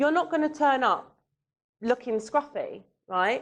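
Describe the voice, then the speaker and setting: A woman's high-pitched voice with lively intonation, in a London accent. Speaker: matchmaker and dating coach. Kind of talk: seminar talk.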